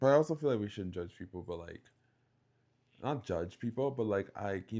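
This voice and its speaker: In a very clean recording with a silent background, a man with a slight Bahamian accent speaks at a moderate pace in a fairly low, dark, mellow voice with lively intonation. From Bahamas. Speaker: podcast co-host. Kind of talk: casual chat.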